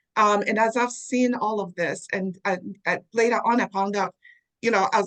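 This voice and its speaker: Speaking in a Zambian accent at a moderate pace, a woman has a fairly high pitch and a dry, close sound with no echo. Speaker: DEI leader. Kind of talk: interview.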